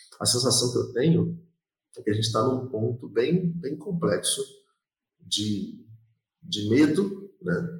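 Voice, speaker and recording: A somewhat breathy man speaks at a fairly slow pace. His intonation is lively. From Rio de Janeiro, West Zone. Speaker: podcast co-host. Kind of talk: casual chat.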